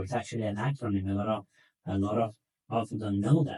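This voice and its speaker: The voice is somewhat breathy and has a non-native accent. It moves at a moderate pace. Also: man. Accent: foreign accent, self-noted. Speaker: equine veterinarian. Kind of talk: educational podcast talk. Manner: conversational, with hesitations and repetitions.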